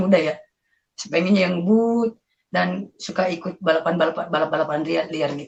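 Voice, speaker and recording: A woman's fairly low voice with vocal fry, at a moderate pace. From South Sulawesi, Indonesia (Bugis, Parepare). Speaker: convert giving testimony. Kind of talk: testimony. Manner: casual, hesitant with fillers.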